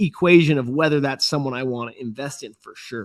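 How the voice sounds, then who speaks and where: A man has an unremarkable speaking voice with lively intonation. He talks at a moderate pace against a quiet background. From USA. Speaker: entrepreneur and startup investor. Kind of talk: podcast interview. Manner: conversational with frequent fillers and restarts.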